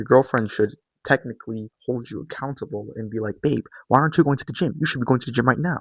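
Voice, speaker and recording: A quiet man of medium pitch talks at a very fast pace, his loudness swinging widely. The sound is dry and close with no echo. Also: ordinary pitch variation. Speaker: YouTuber / fitness coach. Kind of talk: vlog monologue. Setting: at home, early morning. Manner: casual.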